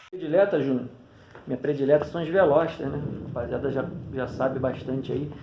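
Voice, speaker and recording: Noticeable background noise and audible room echo fill the recording. The speech moves at a fairly quick pace with fairly even intonation and long, frequent pauses. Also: man, fairly high pitch for a man. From Petrópolis, Rio de Janeiro, Brazil. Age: 30s. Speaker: kite flyer, YouTuber. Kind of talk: casual interview. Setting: recording himself on phone front camera.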